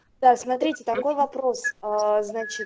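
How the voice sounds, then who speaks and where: Speaking at a very slow pace, a woman uses a high pitch with a dark, mellow tone. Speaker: seminar participant. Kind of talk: Q&A question.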